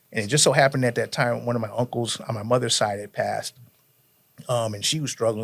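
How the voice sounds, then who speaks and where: A man with an American accent speaks at a medium pitch with ordinary pitch variation in an unremarkable speaking voice. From Connecticut, US (New Britain). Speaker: podcast guest telling life story. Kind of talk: casual interview, life testimony.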